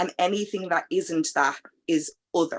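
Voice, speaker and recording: A woman with an Irish accent. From Ireland. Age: 30s. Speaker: panel guest. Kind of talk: panel discussion.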